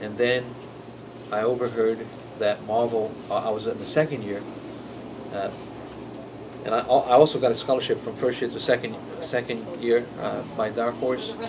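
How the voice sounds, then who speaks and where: The speech moves at a moderate pace with fairly even intonation and long, frequent pauses, over noticeable background noise. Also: man, medium pitch for a man. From Brazil. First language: Portuguese. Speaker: comic book artist. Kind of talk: interview. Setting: in-store signing at comic shop. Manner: halting, many fillers and repetitions.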